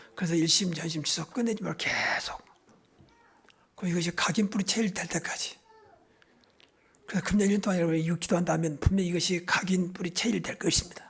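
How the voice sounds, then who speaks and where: The speech has a fairly quick pace with long, frequent pauses. Noticeable background noise is present. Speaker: pastor. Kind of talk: sermon. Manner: fast.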